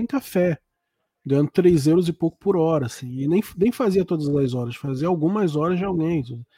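A high-pitched man with lively intonation and a dark, mellow tone, dry and close with no echo, on a very clean recording with a silent background. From Brazil. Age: 40s. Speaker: writer and podcast host. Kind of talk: casual chat.

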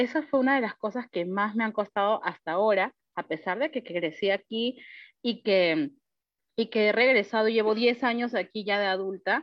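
Here is a woman with an unremarkable speaking voice and a fairly high pitch. She talks at a moderate pace with ordinary pitch variation. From Peru and Panama. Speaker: teacher. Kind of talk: panel discussion. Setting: video call.

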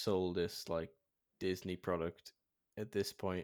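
The voice belongs to a man. The recording is very clean and the background silent. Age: 20s. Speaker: podcast co-host. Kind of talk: casual chat.

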